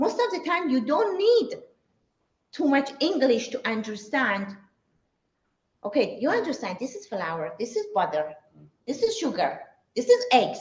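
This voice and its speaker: At a fairly slow pace, a woman with a high voice makes very wide pitch swings and leaves long, frequent pauses. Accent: Persian. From Iran, Shiraz. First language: Persian. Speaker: cook and cooking teacher. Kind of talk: talk to a live audience. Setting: synagogue event with audience. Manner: halting.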